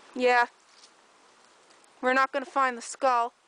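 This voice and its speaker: A woman's high, bright, sharp voice is raised and projected, recorded dry and close with no echo. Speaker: nature vlogger documenting decomposition. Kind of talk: outdoor walkthrough narration. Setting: outdoors in woods.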